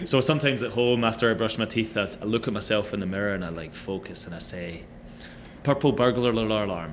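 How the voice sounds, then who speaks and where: A man talks at a very fast pace with a fairly low pitch. Audible room echo surrounds his voice. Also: ordinary pitch variation. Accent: Scottish. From Scotland. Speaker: actor and model. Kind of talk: casual chat.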